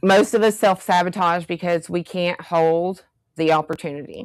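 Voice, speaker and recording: In a Southern US accent, a woman speaks at a fairly slow pace and fairly low pitch with ordinary pitch variation, on a very clean recording with a silent background. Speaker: workshop presenter. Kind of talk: workshop talk. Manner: conversational.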